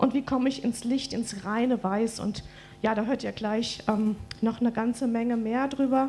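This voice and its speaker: In an ordinary speaking voice, a woman talks at a moderate pace with fairly even intonation. Her pitch is fairly high. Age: 40s. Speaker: preacher's wife and co-speaker. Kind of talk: church address.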